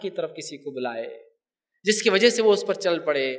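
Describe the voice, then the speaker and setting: A man talks with lively intonation and a bright, sharp tone. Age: 30s. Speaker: Islamic preacher. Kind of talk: religious lecture.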